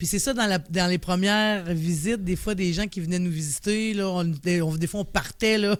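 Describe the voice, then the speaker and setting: On a very clean recording with a silent background, a woman speaks in a Quebec accent at a moderate pace with hardly any pauses. Her pitch varies an ordinary amount, and her loudness stays very even. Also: medium pitch for a woman. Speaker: director of a mental health organization. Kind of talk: podcast interview. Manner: casual.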